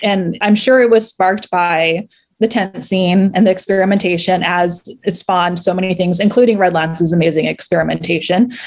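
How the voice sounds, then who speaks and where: A woman with an ordinary speaking voice talks at a fairly quick pace, at medium pitch and with fairly even intonation. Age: 30s. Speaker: fan fiction writer. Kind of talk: casual interview.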